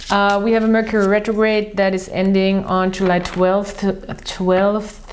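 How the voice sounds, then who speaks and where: A woman with an Austrian accent speaks at a medium pitch and very slow pace in a monotone, flat way, with audible room echo and noticeable background noise. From Austria, Vienna. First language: German. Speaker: tarot reader. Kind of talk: tarot and astrology reading monologue. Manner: halting, with many fillers.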